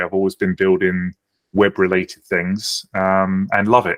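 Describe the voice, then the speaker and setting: A man's fairly low voice with a British accent, at a moderate pace, in a dry, close sound with no echo. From United Kingdom. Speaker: software founder. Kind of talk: podcast interview.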